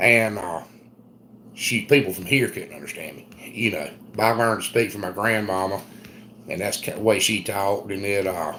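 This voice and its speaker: A man with a strong Southern US accent speaks at a moderate pace in a fairly low voice, his loudness swinging widely and his words broken by long, frequent pauses. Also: ordinary pitch variation. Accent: thick Southern US. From US South, South Carolina. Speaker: homesteader. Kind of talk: casual chat. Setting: live stream.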